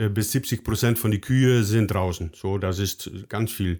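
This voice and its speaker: With a Dutch accent, a man speaks at a very slow pace and fairly low pitch. The recording is very clean and the background silent. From Netherlands. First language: Dutch (speaking German). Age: 50s. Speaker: dairy farming advisor. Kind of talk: interview. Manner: halting, many fillers.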